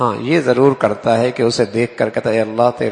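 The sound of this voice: Fairly even intonation marks this unforced reading voice from start to finish.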